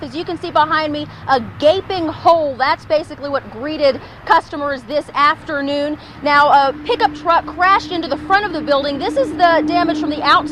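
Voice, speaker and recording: The speech runs at a fairly quick pace, with noticeable background noise throughout. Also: woman, high pitch for a woman, ordinary pitch variation. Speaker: television news reporter and anchor. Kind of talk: TV news reporting and anchoring. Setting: live on-location field report.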